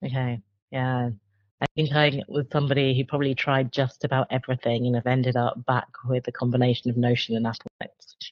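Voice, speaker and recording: A woman with a southern English accent talks very fast at a very deep, low pitch, her intonation monotone and flat. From England, Cambridge. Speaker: career coach and interviewer. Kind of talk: interview.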